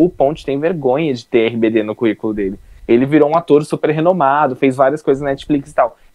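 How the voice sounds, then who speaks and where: This man has an ordinary speaking voice at a fairly high pitch. He keeps a moderate pace with ordinary pitch variation. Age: 20s. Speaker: youtuber, podcast co-host. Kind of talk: casual chat.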